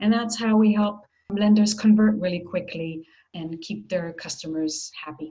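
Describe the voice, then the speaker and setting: The voice is somewhat breathy, with an American accent. Its loudness swings widely. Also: woman, medium pitch for a woman, ordinary pitch variation, moderate pace. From Israel. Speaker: marketing executive. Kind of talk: interview.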